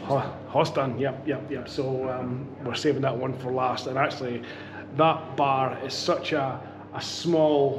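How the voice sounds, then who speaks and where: In a Scottish accent, a man talks at a fairly slow pace and medium pitch with monotone, flat intonation, audible room echo and noticeable background noise. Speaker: beer vlogger. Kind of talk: casual vlog chat. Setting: outdoor beer garden. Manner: loud.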